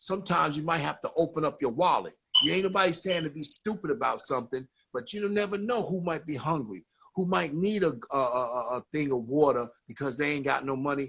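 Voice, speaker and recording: Delivered at a fairly quick pace, the speech has lively intonation and comes in a New York accent. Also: man, fairly high pitch for a man. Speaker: chaplain, ministry founder. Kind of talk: casual livestream talk. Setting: Instagram live stream. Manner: animated.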